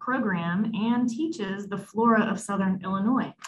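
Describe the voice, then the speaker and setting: A woman speaks with a somewhat breathy voice and fairly even intonation, at a moderate pace. Light noise sits in the background. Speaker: symposium host. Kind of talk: speaker introduction. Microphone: video call.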